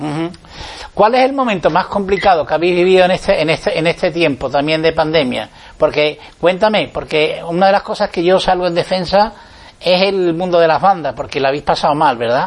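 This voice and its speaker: A high-pitched man speaks at a fairly quick pace with ordinary pitch variation against noticeable background noise. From Andalusia, Huelva. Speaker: radio host. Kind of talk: radio interview show.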